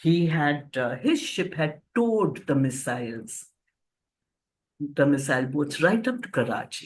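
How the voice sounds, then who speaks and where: Speaking at a fairly slow pace with lively intonation, a woman with an Indian accent has a very deep, low pitch. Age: 70s. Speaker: author and cancer counselor. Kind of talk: storytelling interview. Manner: animated.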